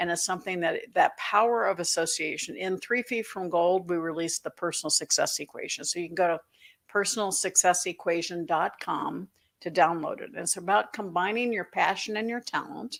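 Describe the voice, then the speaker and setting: In a plain, everyday voice, a woman talks at a medium pitch and a fairly quick pace with ordinary pitch variation, on a very clean recording with a silent background. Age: 60s. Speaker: author and financial educator. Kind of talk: interview.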